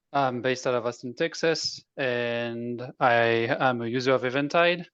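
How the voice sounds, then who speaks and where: Over a quiet background, a man speaks with a French accent. His pitch is medium. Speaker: software developer. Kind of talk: self-introduction at a tech meetup.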